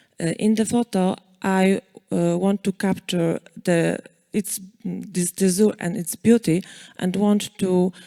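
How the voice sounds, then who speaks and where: Very slowly, a woman with a dark, mellow tone and medium pitch speaks with fairly even intonation and long, frequent pauses, in a dry, close recording with no echo and a very clean, silent background. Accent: Polish. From Poland. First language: Polish. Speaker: photo competition winner. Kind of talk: acceptance speech. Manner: halting.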